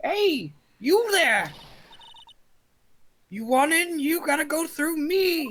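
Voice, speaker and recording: In a put-on character voice that is gruff and high-pitched, the speaker goes very slowly with long, frequent pauses. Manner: mean, gruff, gatekeeping.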